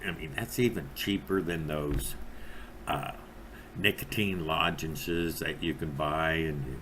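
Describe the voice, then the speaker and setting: A man speaks at a very slow pace with a very deep, low pitch and vocal fry. Long, frequent pauses stand out against audible room echo. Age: 60s. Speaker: vape reviewer. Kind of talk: product review monologue. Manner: rambling with many fillers and hesitations.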